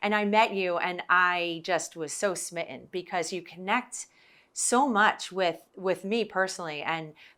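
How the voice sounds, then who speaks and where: In a New Jersey accent, a woman with a medium pitch and ordinary pitch variation speaks at a fairly slow pace in a bright, sharp tone, on a very clean recording with a silent background. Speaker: podcast host, former TV producer. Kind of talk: casual interview chat. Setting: on location in Baltimore.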